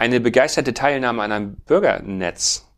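A man speaks in a plain, everyday voice at a moderate pace with fairly even intonation. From Schleswig-Holstein, northern Germany. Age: 40s. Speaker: farmer and bioenergy entrepreneur. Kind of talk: casual interview.

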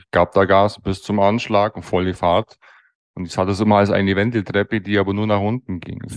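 Talking at a fairly quick pace in a Bavarian accent, a man with a fairly low pitch keeps a monotone, flat intonation while his loudness swings widely. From Bavaria (Allgäu / Bavarian Swabia). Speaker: master dental technician. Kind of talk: interview.

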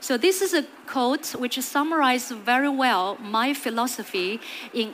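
A woman talks with a Chinese accent at a moderate pace. Her pitch is high and her intonation lively. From China. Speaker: HR executive. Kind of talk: conference talk. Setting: stage with audience.

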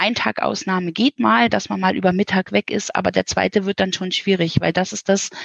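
The woman keeps to a moderate pace. Vocal fry runs through her voice. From northern Germany. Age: 40s. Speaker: children's village house mother. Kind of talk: interview. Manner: warm.

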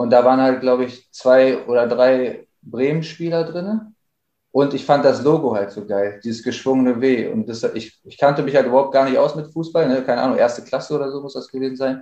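A man with a dark, mellow tone speaks at a fairly quick pace with ordinary pitch variation. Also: medium pitch for a man. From Bielefeld, Germany. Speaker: rapper. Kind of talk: casual interview.

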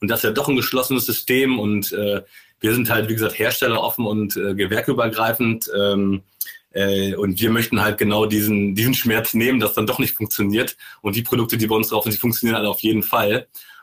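Talking at a fairly quick pace, a man keeps a medium pitch, very even loudness, and a monotone, flat intonation. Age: 30s. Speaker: sales manager for smart home software. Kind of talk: podcast interview.

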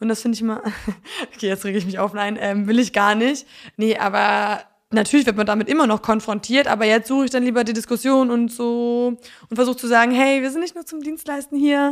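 Fairly high female voice, fairly quick delivery, and ordinary pitch variation. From Poland and North Frisia, Germany. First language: Polish (speaking German). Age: 20s. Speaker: singer-songwriter. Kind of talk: casual interview.

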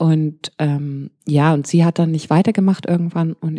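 A woman's very deep, low voice, dark and mellow, in a flat monotone with a dry, close sound and no echo. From grew up abroad: Pakistan, India, Malaysia. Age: 40s. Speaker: DJ. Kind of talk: interview.

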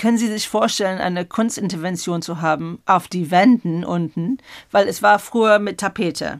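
The recording is very clean, with a silent background. A woman speaks at a moderate pace with an English accent. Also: medium pitch for a woman, ordinary pitch variation. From England. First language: English (speaking German). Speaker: exhibition curator. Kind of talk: interview. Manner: halting.

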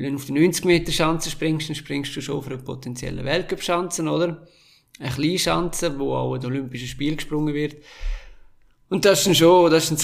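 A man speaks with a Graubünden accent. His pitch is fairly high, with vocal fry. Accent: Swiss German (Graubünden). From Switzerland, Engadin (St. Moritz). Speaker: former ski jumper. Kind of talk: interview.

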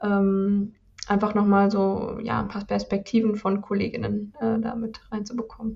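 Her voice is somewhat breathy, with a dark, mellow tone, a medium pitch and monotone, flat intonation. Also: moderate pace. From southern Germany. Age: 40s. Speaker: yoga teacher. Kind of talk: interview.

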